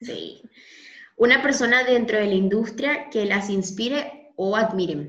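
A woman's fairly high voice at a fairly slow pace, with lively intonation and audible room echo. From Venezuela. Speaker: podcast host. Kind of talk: casual interview.

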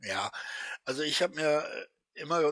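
A man's bright, sharp tone comes through in a dry, close sound with no echo. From western Germany. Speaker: YouTuber commenting on clips. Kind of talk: casual commentary chat.

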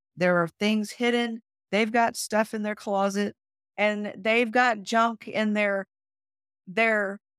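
Here a woman talks at a fairly slow pace. The sound is dry and close with no echo, on a very clean recording with a silent background. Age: 50s. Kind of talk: podcast interview.

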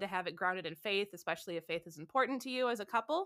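In a very clean recording with a silent background, a woman talks with a Midwestern American accent. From Southeast Michigan. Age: 30s. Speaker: wedding photographer. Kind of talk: casual interview.

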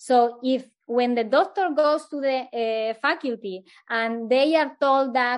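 With a non-native accent, a woman talks at a high pitch and fairly slow pace, with ordinary pitch variation, against a quiet background. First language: Spanish. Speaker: eating disorder recovery coach, doctor. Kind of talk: interview answers. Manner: halting, many fillers.

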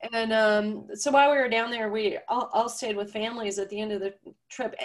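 In a normal speaking voice, the speaker moves at a fairly quick pace. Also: woman. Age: 50s. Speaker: author and coach. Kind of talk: casual interview.

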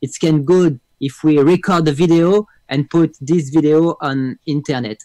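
Speaking at a very slow pace, a man uses a fairly high pitch with ordinary pitch variation, in a dry, close sound with no echo. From France. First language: French (speaking Spanish). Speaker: music producer and keyboard player. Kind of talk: interview.

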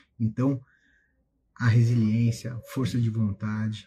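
A somewhat breathy, dark and mellow male voice, fairly slow, with monotone, flat intonation. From southern Brazil (Carazinho, Rio Grande do Sul). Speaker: federal prosecutor and exam-prep teacher. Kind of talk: motivational talk to students on a live stream. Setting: Instagram live stream.

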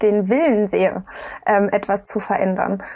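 The speaker here is a woman. Her intonation rises and falls to an ordinary degree. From eastern Germany, Dresden. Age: 20s. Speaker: politician. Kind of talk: interview.

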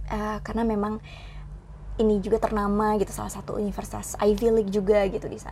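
Over noticeable background noise, a woman talks at a very fast pace with big swings in loudness. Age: young. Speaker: Indonesian language teacher. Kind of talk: interview.

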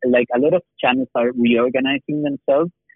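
A man speaks with a Spanish accent. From Chile. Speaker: animation producer. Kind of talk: interview. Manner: halting, many fillers and repetitions.

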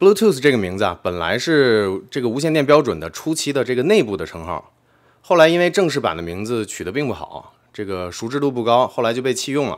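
Very wide pitch swings at a fairly quick pace, on a very clean recording with a silent background. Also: man, medium pitch for a man. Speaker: tech video creator. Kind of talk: explainer video narration. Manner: casual with frequent fillers.

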